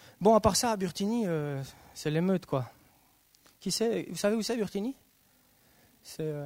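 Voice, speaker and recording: A man's high-pitched voice, animated in tone and lively in intonation, at a fairly slow pace with long, frequent pauses. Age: 30s. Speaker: youth missionary speaker. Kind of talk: sermon.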